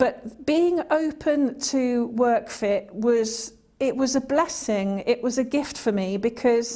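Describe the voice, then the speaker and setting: This voice has a dark, mellow tone with a British accent and ordinary pitch variation. It moves at a very slow pace with hardly any pauses. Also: woman, high pitch for a woman. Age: 60s. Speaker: employment support client. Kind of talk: interview testimony. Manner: halting.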